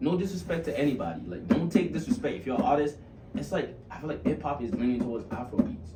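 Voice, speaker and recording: Over music in the background and with audible room echo, a man talks at a very fast pace in a fairly high voice, with very wide pitch swings and big swings in loudness. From Nigeria (Lagos), moved to US at 15-16. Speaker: musician, rapper and pop/R&B artist. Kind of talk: casual chat.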